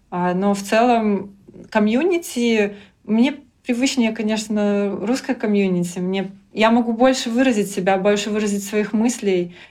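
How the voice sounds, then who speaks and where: Over audible room echo, a woman speaks at a fairly slow pace and a fairly high pitch, with ordinary pitch variation. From Belarus, Grodno. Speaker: frontend developer. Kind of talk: interview. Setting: at a conference.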